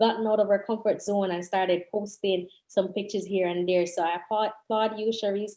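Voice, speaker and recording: A woman with a Jamaican accent speaks at a moderate pace in a dark, mellow tone against a quiet background. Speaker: real estate agent. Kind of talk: panel discussion.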